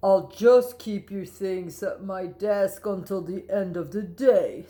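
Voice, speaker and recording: A woman puts on a character voice, her pitch sitting in the middle range as she talks rather unhurriedly. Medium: read story. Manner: patient, firm.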